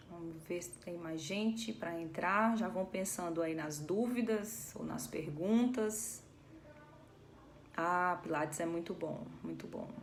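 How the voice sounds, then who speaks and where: A woman speaks very slowly in a Ceará accent, her pitch fairly low. Her pitch varies in an ordinary way, and the room echo is audible. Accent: Northeastern Brazilian (Cearense). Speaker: physiotherapist and Pilates instructor. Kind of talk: live stream talk. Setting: Instagram live.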